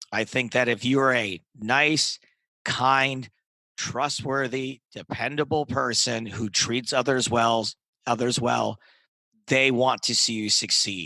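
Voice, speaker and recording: A man with a medium-pitched voice speaks at a very slow pace, his intonation fairly even. The tone is bright and sharp, and the sound is dry and close with no echo. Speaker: poker commentator and comedian, interview guest. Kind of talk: podcast interview answer.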